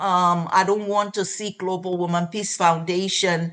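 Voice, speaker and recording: This woman's voice sits at a fairly low pitch. Her intonation stays monotone and flat. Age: 70s. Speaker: foundation executive director. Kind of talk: interview. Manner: halting, many fillers.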